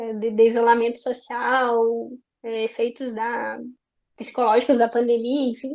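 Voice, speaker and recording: A woman with a high-pitched voice talks at a very slow pace. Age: young, early career. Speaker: education researcher and seminar speaker. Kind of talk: academic seminar talk. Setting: online seminar, speaking seated.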